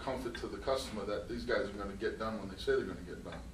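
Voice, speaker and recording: With an American accent, a man talks amid audible room echo. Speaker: construction company owner. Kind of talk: interview.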